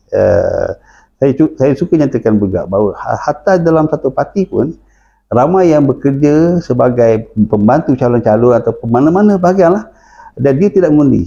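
Over a quiet background, a man speaks with a dark, mellow tone and lively intonation. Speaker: politician and professor. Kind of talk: political interview.

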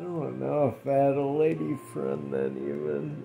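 A man speaks with faint music playing in the background. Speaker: home vlogger. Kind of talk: casual storytelling vlog chat. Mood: relaxed, amused, rambling. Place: home room. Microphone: phone near.

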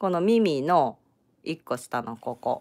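A woman with a Kansai accent, fairly low in pitch, animated, with very wide pitch swings, on a very clean recording with a silent background. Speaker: crochet tutorial creator. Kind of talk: live-streamed crochet tutorial. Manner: chatty, animated.

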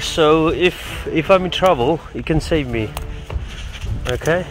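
Light background noise sits under a dry sound with no echo. A man talks with ordinary pitch variation. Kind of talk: casual vlog chat. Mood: playful, mock suspense. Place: open country. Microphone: phone near.

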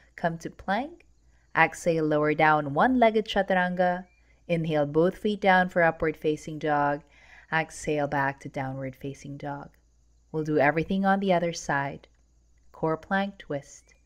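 A woman speaks with a very deep, low pitch and ordinary pitch variation at a moderate pace. Her tone is calm and soothing against a quiet background. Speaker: yoga instructor. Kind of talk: guided yoga class. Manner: calm, soothing, measured; brisk, rhythmic cueing with breath.

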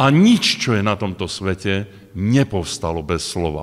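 Light background noise sits behind a man with a fairly low pitch. He speaks at a very slow pace with ordinary pitch variation. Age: 60s. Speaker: preacher. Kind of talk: sermon. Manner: halting. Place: hall. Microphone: podium.

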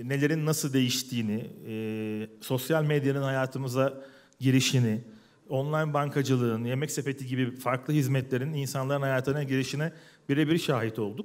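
This man has an unremarkable speaking voice at medium pitch with fairly even intonation. His pace is moderate. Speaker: tech company founder. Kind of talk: panel talk. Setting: stage with audience. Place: hall. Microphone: headset.

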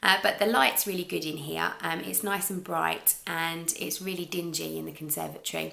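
A woman talks at a moderate pace with hardly any pauses. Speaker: crochet podcaster. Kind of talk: casual vlog chat. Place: kitchen. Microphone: camera far.

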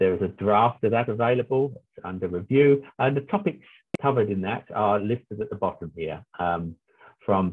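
A man's fairly low voice at a moderate pace, a normal speaking voice with ordinary pitch variation, over a quiet background. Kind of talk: lecture. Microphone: video call.

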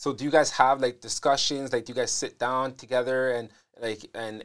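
A man speaks at a fairly quick pace with fairly even intonation, in an ordinary speaking voice. The background is quiet. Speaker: podcast host. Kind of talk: casual interview. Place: studio. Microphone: lapel.

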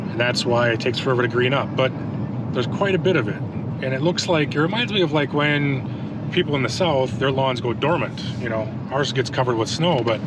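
Moderate pace and ordinary pitch variation, in a dry sound with no echo under loud background noise. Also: man. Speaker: lawn care vlogger. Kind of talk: casual vlog chat. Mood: relaxed, chatty. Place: car. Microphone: phone near.

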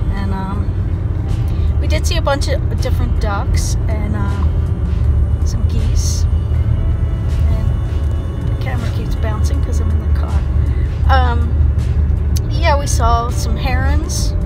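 Music plays in the background as a woman talks at a very slow pace with ordinary pitch variation. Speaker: vlogger. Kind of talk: casual vlog chat. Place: car. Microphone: phone near.

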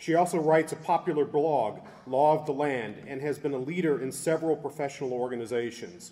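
A man speaks fairly fast, his tone dark and mellow. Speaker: university official. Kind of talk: formal introduction. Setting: stage with audience. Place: hall. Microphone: podium.

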